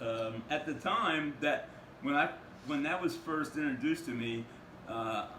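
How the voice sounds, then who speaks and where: Audible room echo surrounds a man with a fairly high voice. He talks at a fairly slow pace with ordinary pitch variation. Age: 60s. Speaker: housing program client. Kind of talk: interview. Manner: halting.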